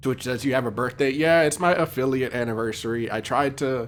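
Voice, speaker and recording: Ordinary pitch variation, a moderate pace, and noticeable background noise. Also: man. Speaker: video game streamer. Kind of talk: live gameplay commentary. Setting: live stream at home with headphones. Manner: loud; casual, many fillers. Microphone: mic very close to mouth, sounds loud.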